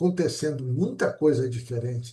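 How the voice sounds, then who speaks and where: Somewhat breathy, a man's voice has a dark, mellow tone and lively intonation. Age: 70s. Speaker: interview show host. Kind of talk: interview chat.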